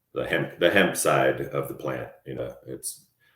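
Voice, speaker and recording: Vocal fry runs through the speech of a man with an American accent, who talks at a fairly slow pace. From Colorado. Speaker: entrepreneur and engineer. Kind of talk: podcast interview. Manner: halting, many repeated words.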